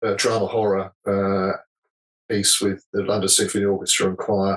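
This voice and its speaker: In an English accent, a man speaks in a fairly low, monotone voice with flat intonation. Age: 60s. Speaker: musician. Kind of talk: interview. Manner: halting, self-correcting.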